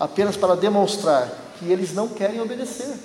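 A high-pitched man's voice with ordinary variation, a moderate pace and noticeable background noise. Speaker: preacher. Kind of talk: sermon in church, with prayer and scripture reading. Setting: church service with congregation. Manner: earnest, persuasive pulpit delivery, direct appeals to the congregation.

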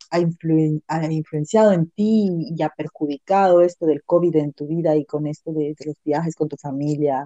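A woman speaks fairly slowly in a very deep, low voice with a dark, mellow tone and fairly even intonation, the sound dry and close with no echo. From Latin America. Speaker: podcast host. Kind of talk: casual interview chat.

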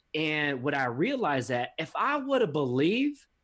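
A man with a plain, everyday voice speaks in a fairly high pitch with lively intonation. His pace is moderate, and the recording is very clean with a silent background. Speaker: podcast host and author. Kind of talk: casual interview.

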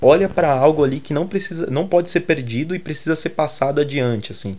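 A man talks at a fairly quick pace with lively intonation. His is an unremarkable speaking voice. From Brazil, Grajaú, São Paulo south zone. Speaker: fashion and aesthetics researcher. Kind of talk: interview.

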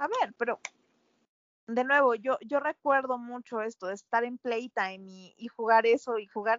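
Using an ordinary speaking voice, a woman talks at a fairly slow pace and fairly high pitch, with fairly even intonation and big swings in loudness. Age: 20s. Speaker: podcast co-host. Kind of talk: casual chat.

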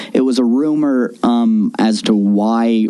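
Background noise is noticeable here. A man is the one talking. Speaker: podcast co-host. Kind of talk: casual chat. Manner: halting.

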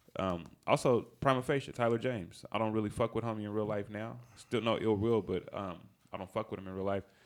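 A man with an American accent speaks at a fairly quick pace and a fairly low pitch. The recording is very clean, with a silent background. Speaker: rapper. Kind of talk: casual chat. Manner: animated.

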